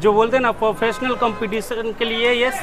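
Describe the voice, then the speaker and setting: A man's extremely high-pitched voice with fairly even intonation amid noticeable background noise. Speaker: shop salesman. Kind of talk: product presentation to interviewer. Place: street. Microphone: lapel.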